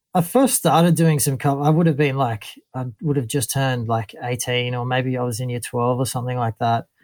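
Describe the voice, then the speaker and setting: Hardly pausing, a man in an Australian accent speaks at a medium pitch and moderate pace with fairly even intonation. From northern New South Wales, Australia. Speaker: bass player. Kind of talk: casual interview. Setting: remote call. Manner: laid-back.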